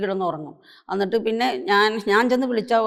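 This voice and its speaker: Her voice is pitched fairly high. It belongs to a woman. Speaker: bereaved mother of an actress. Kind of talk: personal testimony talk. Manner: halting, many pauses and repetitions.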